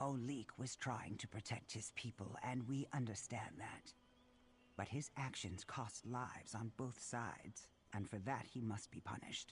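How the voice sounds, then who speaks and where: A man's put-on character voice at a medium pitch and moderate pace, over clear background noise. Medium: video game. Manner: formal, measured.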